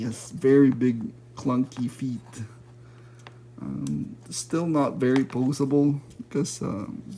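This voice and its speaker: Over light background noise, a man speaks at a very slow pace with ordinary pitch variation and long, frequent pauses. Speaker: toy reviewer. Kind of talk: product review. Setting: at home at night. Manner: hesitant, many fillers. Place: home room. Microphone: phone near.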